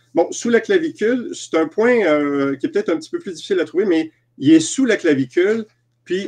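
A man speaks at a high pitch with very wide pitch swings. The background is quiet. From Quebec. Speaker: EFT practitioner and trainer. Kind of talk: interview. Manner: halting. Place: home room. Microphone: video call.

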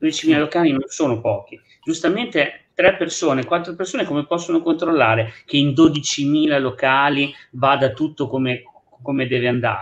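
This man has an unremarkable speaking voice, fairly high in pitch. He talks at a moderate pace with ordinary pitch variation. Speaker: restaurant owner; guest. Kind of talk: talk show discussion. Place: home room. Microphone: unstable connection; video call.

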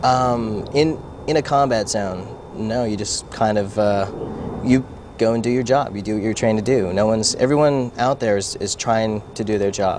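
Over noticeable background noise, a man with a fairly low pitch talks at a moderate pace with fairly even intonation. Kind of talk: interview answer. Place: garden. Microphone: lapel.

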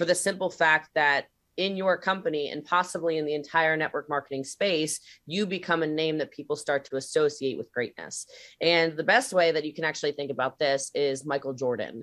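Over a quiet background, a woman speaks with a very deep, low pitch and ordinary pitch variation. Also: fairly quick pace. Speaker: presenter. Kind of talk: lecture. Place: home room. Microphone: webcam.

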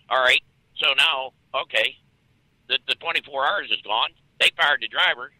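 A man speaks at a medium pitch and a moderate pace, with a bright, sharp tone. His pitch varies in an ordinary way, and the sound is dry and close with no echo.

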